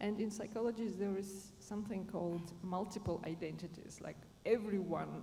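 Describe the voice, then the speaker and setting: A woman talks at a moderate pace and medium pitch, her intonation fairly even. Noticeable background noise and audible room echo are present. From Germany. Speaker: panelist, positive leadership trainer. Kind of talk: panel discussion. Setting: conference stage with audience. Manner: halting.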